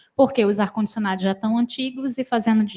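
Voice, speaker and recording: Soft-spoken and somewhat breathy, a woman talks with a dark, mellow tone at a fairly high pitch and ordinary pitch variation. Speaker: university council member. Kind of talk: council meeting remarks. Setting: meeting room with microphone.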